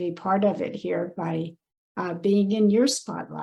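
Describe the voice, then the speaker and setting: Against a quiet background, a woman talks at a fairly slow pace with a somewhat breathy sound. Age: 60s. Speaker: personal branding consultant. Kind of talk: podcast interview.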